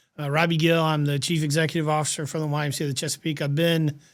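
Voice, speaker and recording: A man with a South Carolina accent talks at a very fast clip in a fairly high pitch for a man, on a very clean recording with a silent background. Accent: Southern US (South Carolina). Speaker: nonprofit executive. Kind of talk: podcast interview.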